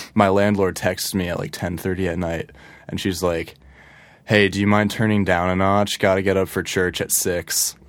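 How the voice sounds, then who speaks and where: A man speaks with a very deep, low pitch and monotone, flat intonation. The recording is very clean, with a silent background. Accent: Californian. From Connecticut, Fairfield County. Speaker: rock musician. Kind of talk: casual chat. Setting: studio. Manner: slow; laid-back.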